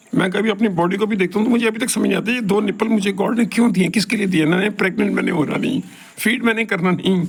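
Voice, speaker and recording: Over noticeable background noise, a man with a high pitch talks with fairly even intonation and hardly any pauses. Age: 70s. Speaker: professor giving talks. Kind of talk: solo monologue talk. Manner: rambling conversational.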